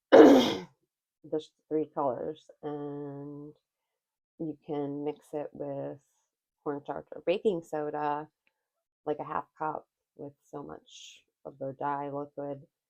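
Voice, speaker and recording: A soft-spoken woman with a very deep, low pitch, very slow and fairly even in intonation, with big swings in loudness, in a dry, close sound with no echo. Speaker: craft vlogger. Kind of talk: casual tutorial vlog. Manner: quiet, soft-spoken; halting, many fillers.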